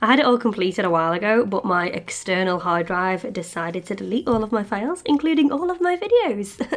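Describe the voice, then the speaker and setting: In a British accent, a woman speaks very fast at a medium pitch with lively intonation and hardly any pauses, over noticeable background noise. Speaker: polymer clay sculptor, craft video maker. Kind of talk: crafting tutorial with casual chat.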